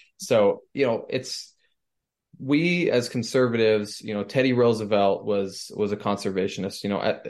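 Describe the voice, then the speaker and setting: Against a quiet background, a man talks at a moderate pace and medium pitch. He has an unremarkable speaking voice. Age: 20s. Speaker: student political leader. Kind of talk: interview.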